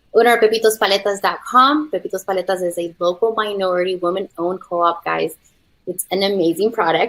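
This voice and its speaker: Here a woman with an American accent speaks at a very fast pace. Her pitch sits in the medium range, with ordinary variation. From California (Watsonville). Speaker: entrepreneur and author. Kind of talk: panel discussion.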